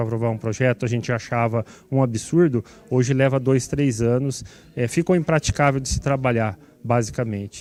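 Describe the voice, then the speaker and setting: A man's dark, mellow tone at a medium pitch, with ordinary pitch variation, a moderate pace and a dry, close sound with no echo. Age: 60s. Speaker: city councillor. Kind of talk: TV interview; committee meeting closing remarks.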